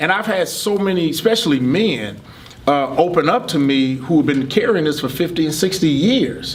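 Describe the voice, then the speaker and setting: With noticeable background noise and audible room echo, a man with an American accent talks at a moderate pace in a fairly high pitch with lively intonation. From US Midwest (Michigan from age 14). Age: 60s. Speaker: construction business owner and motivational speaker. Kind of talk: interview testimony.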